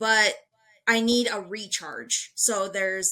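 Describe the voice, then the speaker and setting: A woman's bright, sharp tone. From US Midwest, Lincoln, Nebraska. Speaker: city council candidate. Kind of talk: interview.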